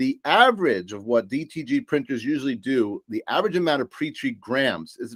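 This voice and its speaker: In a New York accent, the speaker sounds animated at a moderate pace, with very wide pitch swings and a dry, close sound with no echo. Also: man. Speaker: supplier sales presenter. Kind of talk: business presentation.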